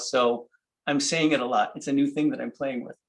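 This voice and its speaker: The man talks with lively intonation. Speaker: paper engineer and book artist. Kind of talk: technical demonstration. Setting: video call. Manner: halting.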